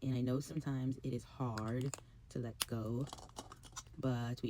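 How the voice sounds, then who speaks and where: The voice is quiet. Its tone is dark and mellow. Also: woman. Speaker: beauty and fashion vlogger. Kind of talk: casual vlog monologue. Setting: at home, early morning. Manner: quiet, talking low.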